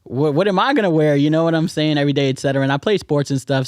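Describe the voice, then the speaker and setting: A man speaks in a fairly high pitch over a dry, close sound with no echo and noticeable background noise. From New York, South Bronx. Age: 30s. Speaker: social worker. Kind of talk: casual chat.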